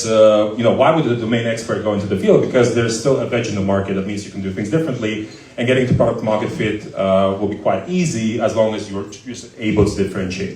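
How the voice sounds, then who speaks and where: Amid noticeable background noise and audible room echo, a man races along very fast with hardly any pauses in a fairly low voice with ordinary pitch variation. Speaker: startup founder and CEO. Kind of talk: live Q&A interview. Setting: stage with audience. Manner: loud.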